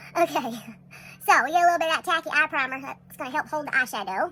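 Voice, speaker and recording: A woman with an American accent talks at a very fast pace in an extremely high pitch with ordinary pitch variation. Her raised, projected voice has a bright, sharp tone. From Texas. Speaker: makeup tutorial creator. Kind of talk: tutorial. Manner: casual, chatty.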